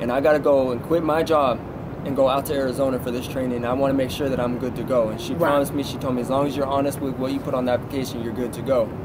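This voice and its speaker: A man with an American accent talks at a very fast pace in a flat monotone. Noticeable background noise runs underneath. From Southern California. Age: 20s. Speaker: truck driver; guest. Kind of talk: interview. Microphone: phone near.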